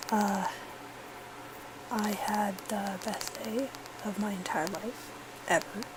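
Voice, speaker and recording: Very slow speech with long, frequent pauses, fairly even intonation, audible room echo and noticeable background noise. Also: woman, medium pitch for a woman. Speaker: vlogger, fan at a concert. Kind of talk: casual vlog. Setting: at home. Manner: hesitant with fillers.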